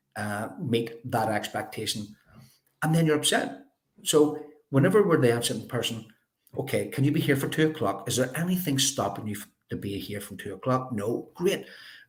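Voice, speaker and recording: A medium-pitched man with a Belfast accent, talking at a fairly quick pace with vocal fry, lively intonation and big swings in loudness. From Northern Ireland, North Belfast. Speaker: life coach. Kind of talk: interview. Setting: live video stream.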